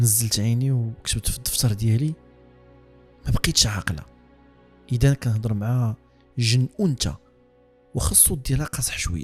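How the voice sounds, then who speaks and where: At a moderate pace, a man talks with music playing behind him. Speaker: horror storyteller. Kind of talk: read horror story in Moroccan Darija.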